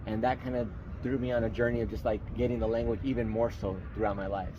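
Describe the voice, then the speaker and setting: Speaking very fast with an American accent, a man's fairly low voice carries audible room echo. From Tucson, Arizona. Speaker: interviewee. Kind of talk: interview.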